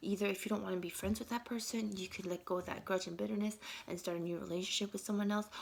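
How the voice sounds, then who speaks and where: Amid noticeable background noise, a woman talks at a very fast pace. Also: medium pitch for a woman, fairly even intonation. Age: 40s. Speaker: vlogger. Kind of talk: casual monologue vlog. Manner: halting, many fillers and restarts.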